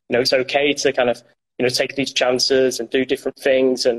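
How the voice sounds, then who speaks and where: The recording is dry and close with no echo. A man with a Yorkshire accent talks at medium pitch and a fairly quick pace. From Yorkshire, northern England. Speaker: former intelligence analyst, alumnus. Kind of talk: interview. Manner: hesitant, many fillers.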